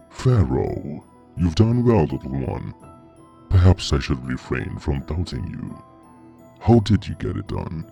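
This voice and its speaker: In a put-on character voice with a menacing tone, a man speaks at a very deep, low pitch at a fairly slow pace with long, frequent pauses, over clear music in the background. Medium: read story. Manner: commanding, menacing.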